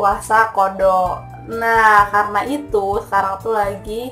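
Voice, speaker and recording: Faint background music can be heard. Over it, a woman talks. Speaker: vlogger. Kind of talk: casual vlog chat. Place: home room. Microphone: phone near.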